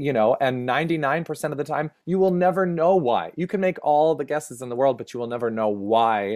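A man talks at a fairly quick pace with lively intonation, in an ordinary speaking voice. The background is quiet. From rural Minnesota, US Upper Midwest. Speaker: performer, educator, producer and playwright. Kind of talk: casual interview chat.

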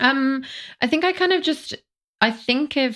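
On a very clean recording with a silent background and a dry, close sound with no echo, a woman with an ordinary speaking voice talks at a moderate pace with lively intonation. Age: 30s. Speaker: fashion photographer and mental health advocate. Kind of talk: interview conversation.

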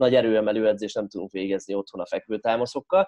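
Here is a man with an ordinary speaking voice. His pitch is medium, and his pace is moderate. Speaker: strength coach and podcast host. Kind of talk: casual chat.

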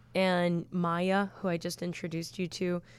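A woman speaks with a strong Chicago accent and a fairly low pitch. The recording is very clean, with a silent background. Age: 30s. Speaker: band guitarist and singer. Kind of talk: casual interview chat.

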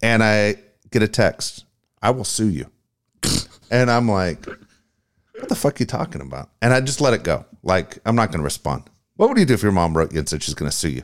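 A man with an American accent speaks at a fairly quick pace in a fairly low pitch, his voice showing vocal fry and very wide pitch swings, broken up by long, frequent pauses. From Tennessee, US South. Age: 50s. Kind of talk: casual chat.

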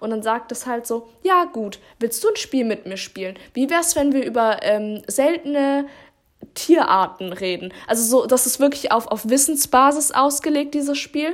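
Lively intonation in a woman's high voice. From Baden-Württemberg, Germany. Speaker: podcast co-host. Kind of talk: casual chat.

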